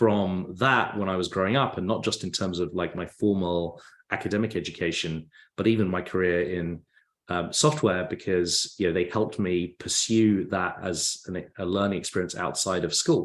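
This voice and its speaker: A man speaks at a moderate pace with a very deep, low pitch and fairly even intonation. The background is quiet. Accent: English. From England. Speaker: tech company founder. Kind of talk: podcast interview.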